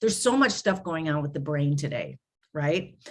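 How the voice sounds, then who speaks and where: This woman has a normal speaking voice, with ordinary pitch variation and a moderate pace. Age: 60s. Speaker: grief recovery specialist. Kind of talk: interview conversation. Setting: podcast.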